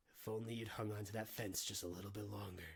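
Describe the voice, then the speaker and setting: In a put-on character voice, a man rattles along at a very fast pace with fairly low pitch and monotone, flat intonation. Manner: menacing, turning evil.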